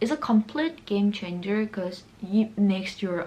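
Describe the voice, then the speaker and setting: A woman with a Korean accent speaks with ordinary pitch variation. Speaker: beauty vlogger. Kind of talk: makeup tutorial. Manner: casual, chatty.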